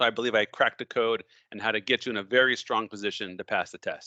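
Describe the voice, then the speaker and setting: Over a quiet background, a man speaks at a very fast pace and medium pitch. His tone is bright and sharp, in a dry, close sound with no echo. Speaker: mortgage licensing instructor. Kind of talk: promotional tutorial.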